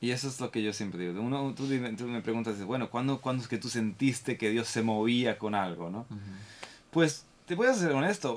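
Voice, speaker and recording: A man with ordinary pitch variation and a medium pitch talks at a fairly quick pace. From Spain, Granada. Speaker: violinist. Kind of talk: casual chat.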